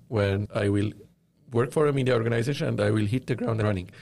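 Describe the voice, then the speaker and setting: A man speaks at medium pitch with ordinary pitch variation. His voice is somewhat breathy. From Lebanon. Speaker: media company founder. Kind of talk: interview. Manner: hesitant, many fillers.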